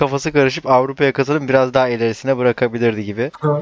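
Talking at a very fast pace, a man keeps a medium pitch and fairly even intonation in a dry, close sound with no echo. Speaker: stand-up comedian. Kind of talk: casual chat.

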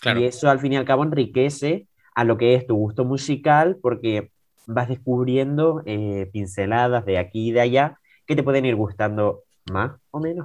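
A man with an unremarkable speaking voice talks at a medium pitch and a moderate pace. His pitch varies in an ordinary way over a quiet background. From Tenerife, Canary Islands. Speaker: young guest, student. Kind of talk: casual chat.

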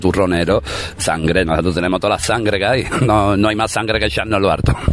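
Over noticeable background noise, a man talks with a very deep, low pitch. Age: 30s. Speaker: musician. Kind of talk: interview. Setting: outdoors in a city square.

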